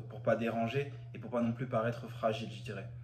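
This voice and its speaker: Room echo is audible as a man talks at a fairly quick pace in a medium pitch. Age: 20s. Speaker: church member giving testimony. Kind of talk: testimony. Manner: halting, with fillers and repetitions.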